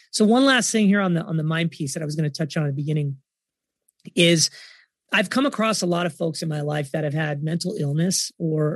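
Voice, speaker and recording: An enthusiastic tone at a fairly quick clip, with ordinary pitch variation. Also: man. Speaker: entrepreneur. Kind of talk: interview conversation.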